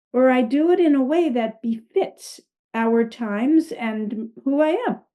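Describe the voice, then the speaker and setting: Here is a woman with a high voice and an American accent. Her pitch varies in an ordinary way. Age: 70s. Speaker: spiritual coach and author. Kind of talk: casual interview.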